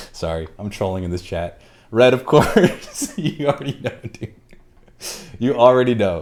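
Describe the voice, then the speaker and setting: A man at medium pitch, speaking fairly slowly with long, frequent pauses, very wide pitch swings and big shifts in loudness. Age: 30s. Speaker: livestreamer building a keyboard. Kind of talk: casual livestream chat. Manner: animated.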